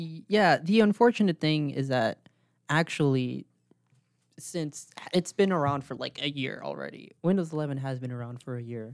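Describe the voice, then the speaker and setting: A man with a normal speaking voice talks at a moderate pace with lively intonation and big swings in loudness, in a dry, close sound with no echo. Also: fairly high pitch for a man. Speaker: podcast co-host. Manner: casual, filler-heavy.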